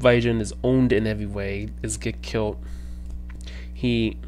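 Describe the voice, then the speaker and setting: A man speaks while light background noise is heard behind him. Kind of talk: casual vlog chat. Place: home room. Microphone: headset.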